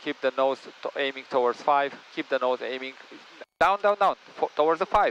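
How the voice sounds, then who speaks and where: A man with a non-native accent and a fairly high pitch speaks at a moderate pace with ordinary pitch variation. The sound is dry and close, with no echo. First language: not English. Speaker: flight instructor. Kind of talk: in-flight instruction. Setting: small plane cockpit.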